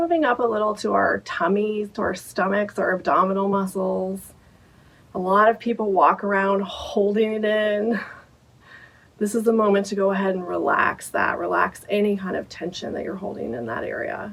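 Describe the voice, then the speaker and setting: A woman speaks in an ordinary speaking voice at medium pitch. Her pace is moderate, with ordinary pitch variation. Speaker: meditation guide. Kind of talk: guided meditation. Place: home room.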